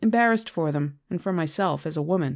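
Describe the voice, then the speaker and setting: Her voice is an unremarkable speaking voice, fairly low in pitch, with lively intonation. The woman is recorded very cleanly against a silent background. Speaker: audiobook narrator. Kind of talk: memoir audiobook reading.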